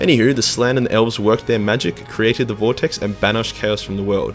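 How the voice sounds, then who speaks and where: Against music in the background, a man with an Australian accent talks at a very fast pace. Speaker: YouTube lore narrator. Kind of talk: comedic lore explainer, profane. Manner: crude, casual, irreverent.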